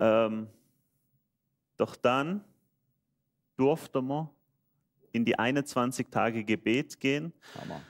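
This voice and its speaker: On a very clean recording with a silent background and a dry, close sound with no echo, a man with a Swiss German accent speaks at a very slow pace with long, frequent pauses, medium pitch and ordinary pitch variation. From Switzerland. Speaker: church member. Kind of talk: testimony.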